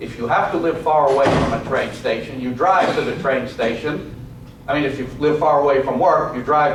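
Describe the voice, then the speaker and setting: Over noticeable background noise and audible room echo, a man speaks at a moderate pace in a fairly high voice with fairly even intonation. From New York. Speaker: lecturer and author. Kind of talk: lecture. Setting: college classroom.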